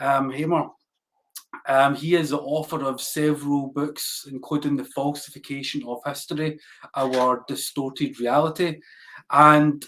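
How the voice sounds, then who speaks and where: A man's fairly high voice at a fairly slow pace. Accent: Glasgow. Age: 40s. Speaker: podcast host. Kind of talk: interview.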